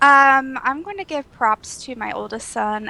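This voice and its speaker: A woman with an American accent is heard in a dry, close recording with no echo. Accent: slight country. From southern Ohio. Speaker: podcast guest. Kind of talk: casual chat.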